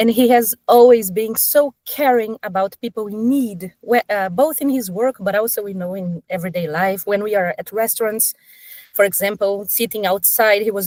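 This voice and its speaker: Recorded dry and close with no echo, a woman talks at a fairly quick pace with a medium pitch and ordinary pitch variation. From Brazil. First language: Portuguese. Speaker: sustainability professional. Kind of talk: podcast interview. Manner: casual, with frequent fillers and self-corrections.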